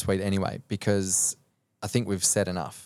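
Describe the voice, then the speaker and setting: A man with an Australian accent speaks at a moderate pace and fairly low pitch, in a very clean recording with a silent background and a dry, close sound with no echo. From Australia (rural New South Wales). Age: 30s. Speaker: mindset and performance coach. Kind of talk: casual interview chat.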